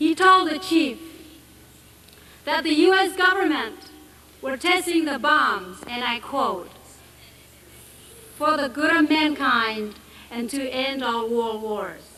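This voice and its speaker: In a Marshallese accent, a woman speaks at a high pitch with lively intonation and a raised, projected voice. Her pace is fairly slow, and there is noticeable background noise. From Marshall Islands. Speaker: anti-nuclear activist. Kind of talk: public speech to an assembly.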